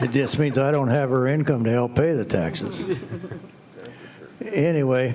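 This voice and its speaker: A medium-pitched man at a moderate pace with ordinary pitch variation and long, frequent pauses, in a room with audible echo and noticeable background noise. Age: 80s+. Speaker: retired resident giving public comment. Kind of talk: public comment at a meeting. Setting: school board meeting room.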